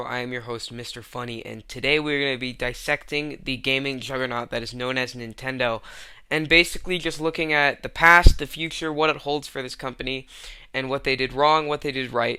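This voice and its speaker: Talking at a fairly quick pace, a man with a medium pitch has a bright, sharp tone, fairly even intonation and big swings in loudness. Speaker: video commentary host. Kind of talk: video essay commentary.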